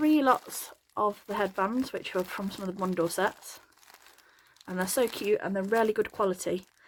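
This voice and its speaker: Speaking with an English accent, a woman lets her pitch vary in an ordinary way. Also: medium pitch for a woman. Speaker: craft tutorial youtuber. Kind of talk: product unboxing haul. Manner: fast; repetitive fillers, casual.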